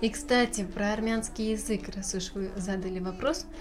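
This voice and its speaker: A woman talks at a medium pitch. Noticeable background noise and audible room echo surround her voice. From Novosibirsk, Russia. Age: 20s. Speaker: journalism student. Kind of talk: casual interview.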